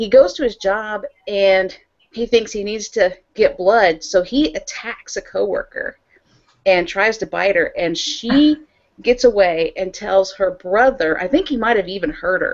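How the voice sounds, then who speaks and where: At a fairly slow pace, the voice shows ordinary pitch variation over a quiet background. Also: woman. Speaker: podcast co-host. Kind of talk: casual conversation, retelling a film plot. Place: home room. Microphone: earbuds.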